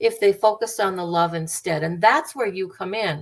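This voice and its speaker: A woman speaks in a normal speaking voice with an American accent. Her pitch is medium and her pace moderate. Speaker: bereavement speaker, bereaved parent. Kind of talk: lecture.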